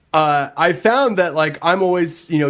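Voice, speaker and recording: A man with an American accent, a normal speaking voice, a fairly slow pace and ordinary pitch variation. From Nebraska, US Midwest. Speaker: record label owner. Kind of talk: casual chat.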